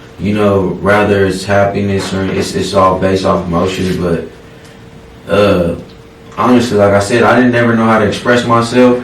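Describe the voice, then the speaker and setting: Amid audible room echo and noticeable background noise, a man with an American accent talks at a moderate pace, fairly low in pitch and with fairly even intonation. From Oklahoma (from age six; early years in California). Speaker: rapper. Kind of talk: interview. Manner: halting.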